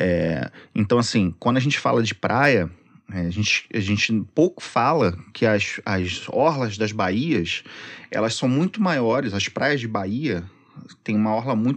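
It's an unremarkable speaking voice, a man at medium pitch with lively intonation. He goes at a fairly slow pace over a quiet background. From Rio de Janeiro, Zona Norte (Penha). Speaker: social media content creator. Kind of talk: casual chat.

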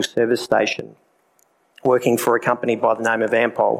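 A man speaks at a medium pitch and moderate pace. His intonation is monotone and flat, with vocal fry. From South Australia. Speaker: speaker giving a personal testimony at a church event. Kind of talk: testimony. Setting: live talk in a room with an audience.

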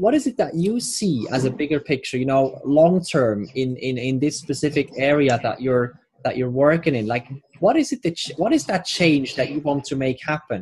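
This man's voice sits fairly high in pitch. It sounds somewhat breathy. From Switzerland. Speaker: podcast host. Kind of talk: interview.

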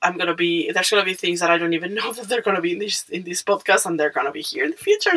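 A woman speaks in an animated tone with a Mexican accent. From Mexico. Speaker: podcaster. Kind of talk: casual monologue. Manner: hesitant, many fillers; animated, laughing.

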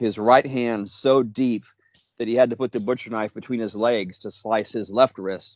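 Fairly slowly and with fairly even intonation, a man of medium pitch talks in a normal speaking voice. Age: 50s. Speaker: magazine founder and writer. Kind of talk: casual chat.

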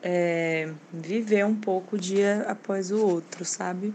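Very slow speech from a woman, noticeable background noise behind her. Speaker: designer. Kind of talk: recorded monologue.

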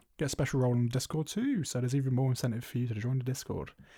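Mumbling at a very fast pace, a man with a British accent has a dark, mellow tone, a somewhat breathy quality and fairly even intonation, in a very clean recording with a silent background. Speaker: film podcast co-host. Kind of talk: casual chat. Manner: mumbles and stutters.

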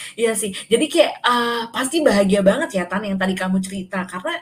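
Somewhat breathy, a woman's voice sits at a medium pitch as she talks. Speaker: podcast host. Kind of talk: casual chat.

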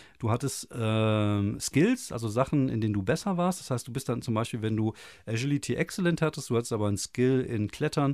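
This man talks at a very fast pace. His pitch is medium and his intonation lively. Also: very clean recording, silent background. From Germany. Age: 40s. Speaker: podcast host. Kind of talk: casual chat. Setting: small home studio.

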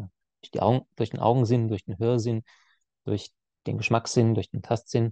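A man's dark, mellow voice at a moderate pace, dry and close with no echo, over a quiet background. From Swabia, Germany (Heilbronn area). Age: 30s. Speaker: etiquette and conflict trainer. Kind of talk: podcast interview. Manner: hesitant, many filler sounds.

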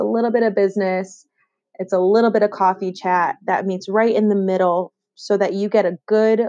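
A woman with a Western New York accent speaks at a moderate pace and a medium pitch, her intonation monotone and flat. Her tone is dark and mellow, with a dry, close sound and no echo. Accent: Western New York (Inland North) American. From Western New York, Rochester. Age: 20s. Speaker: podcast host. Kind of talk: solo podcast monologue.

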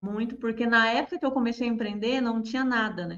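This woman's voice sits high in pitch, with ordinary pitch variation. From Paraná, Brazil (small town). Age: 30s. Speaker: social media marketer. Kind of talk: interview.

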